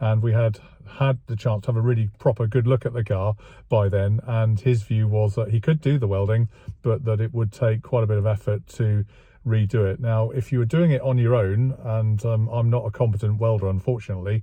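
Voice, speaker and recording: In an English accent, the speaker has a dark, mellow, somewhat breathy tone, fairly even intonation and very even loudness, with a dry sound with no echo and a quiet background. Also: man. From England. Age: 60s. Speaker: classic car restoration vlogger. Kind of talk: casual vlog monologue. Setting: outdoors. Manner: hesitant, many fillers. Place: car. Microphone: phone near.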